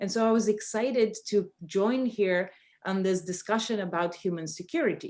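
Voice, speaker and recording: A woman's dark, mellow voice with a Bulgarian accent, medium pitch, moderate pace and ordinary pitch variation. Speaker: professor. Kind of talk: panel discussion. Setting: video call. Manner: halting.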